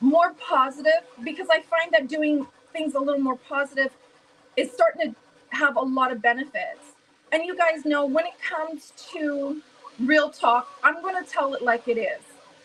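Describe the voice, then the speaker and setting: Loud speech in an American accent comes at a moderate pace with ordinary pitch variation. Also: woman, high pitch for a woman. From US Midwest, St. Louis. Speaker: live stream host. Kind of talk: casual chat.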